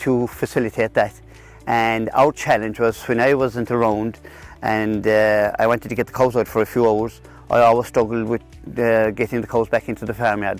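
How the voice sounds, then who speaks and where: A man at medium pitch with a Kerry accent, moderate pace, and music in the background. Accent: Irish, Kerry. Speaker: dairy farmer. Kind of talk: interview answer. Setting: outdoors. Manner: hesitant, repeats words.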